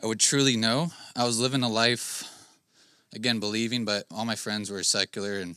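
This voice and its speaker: Shaky and bright with a sharp tone, a man's medium-pitched voice moves at a fairly quick pace with fairly even intonation in a very clean recording with a silent background. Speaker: church member giving testimony. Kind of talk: testimony.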